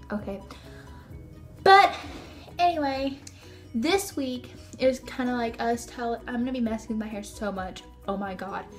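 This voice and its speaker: Over music in the background, a woman speaks with a high pitch and lively intonation. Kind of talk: casual talk to camera. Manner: stuttering.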